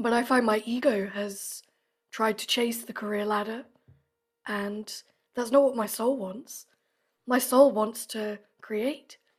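A woman with a fairly high voice speaks at a fairly slow pace, leaving long, frequent pauses. Her intonation is fairly even, her loudness swings widely, and the recording is very clean with a silent background. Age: 30s. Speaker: podcast guest, creative. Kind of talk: casual interview chat.

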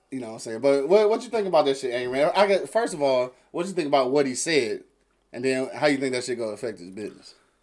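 A man's fairly high voice at a very fast pace, with very wide pitch swings. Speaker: internet radio host. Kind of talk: casual chat. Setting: studio. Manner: animated.

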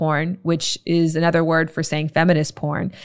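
Recorded very cleanly over a silent background, a woman with a plain, everyday voice speaks at a fairly low pitch and a moderate pace. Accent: Canadian. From Canada, Toronto. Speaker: sex and intimacy educator. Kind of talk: casual interview chat.

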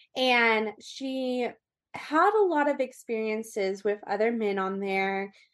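Speaking very slowly with a Californian accent, a woman uses a fairly high pitch and ordinary pitch variation. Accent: Californian American English. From US West Coast, Orange County, California. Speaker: abuse survivor and advocate. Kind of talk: interview.

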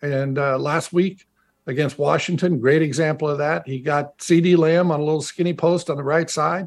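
In a quiet background, a man speaks at a moderate pace with a fairly high pitch. He has an ordinary speaking voice. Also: fairly even intonation. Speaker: former NFL player and radio analyst. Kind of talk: casual chat.

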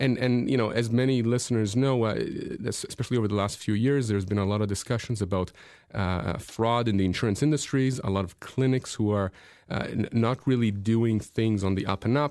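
A man's medium-pitched, a normal speaking voice, at a fairly quick pace with fairly even intonation. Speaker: lawyer radio host. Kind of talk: radio call-in show. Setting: radio studio.

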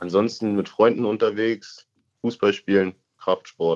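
A man speaks at a fairly slow pace, his voice dry and close with no echo. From Berlin. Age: 20s. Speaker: caller, federal police officer. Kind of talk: casual chat. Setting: phone call.

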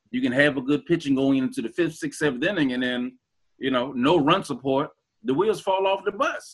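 A man with a fairly high pitch and an American accent. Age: 40s. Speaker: sports podcast panelist. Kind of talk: casual chat. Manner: halting, repeats words.

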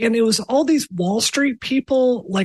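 A woman with a somewhat breathy voice speaks at a moderate pace in a dry, close recording with no echo. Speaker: podcast co-host. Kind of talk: casual panel discussion. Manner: animated.

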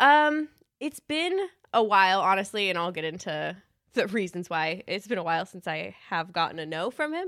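Very wide pitch swings mark a woman's voice at a moderate pace. The recording is very clean with a silent background. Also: medium pitch for a woman. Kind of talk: casual chat. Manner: energetic, like a race car announcer.

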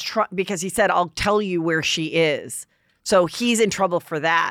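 In a very clean recording with a silent background and a dry, close sound with no echo, a woman uses an ordinary speaking voice of medium pitch, with ordinary pitch variation at a moderate pace. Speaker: podcast host. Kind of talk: casual gossip chat. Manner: chatty, interrupting.

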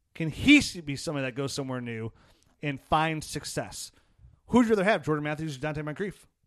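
In an ordinary speaking voice, a man talks at a fairly quick pace with a fairly high pitch. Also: lively intonation. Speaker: fantasy football podcast host. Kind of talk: casual chat.

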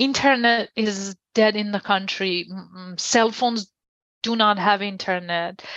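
A woman speaks at a fairly slow pace in a Persian accent, her medium pitch held in a fairly even intonation. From Iran. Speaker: journalist and press freedom researcher. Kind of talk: interview.

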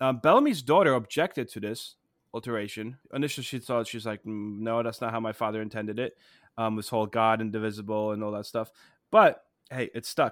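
In a very clean recording with a silent background, a man with a medium-pitched voice talks at a fairly quick pace with fairly even intonation. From immigrated to the US as a child. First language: not English. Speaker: history teacher, podcast co-host. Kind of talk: casual educational chat.

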